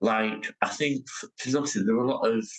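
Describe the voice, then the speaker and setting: A man speaks at a moderate pace in a Lancashire accent. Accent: Northern English (Lancashire). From Oldham, England. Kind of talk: interview answer. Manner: hesitant, lots of fillers.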